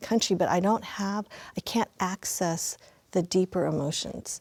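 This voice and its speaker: In a Mandarin accent, a woman speaks fairly slowly at a fairly low pitch with vocal fry and ordinary pitch variation. The sound is dry and close with no echo, on a very clean recording with a silent background. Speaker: panelist. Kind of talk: panel discussion.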